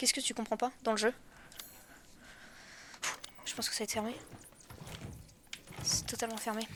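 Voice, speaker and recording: A woman's flat, monotone delivery at a moderate pace, broken by long, frequent pauses, amid noticeable background noise. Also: fairly high pitch for a woman. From France. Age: 20s. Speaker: video game streamer. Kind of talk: live gameplay commentary. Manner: casual, chatty.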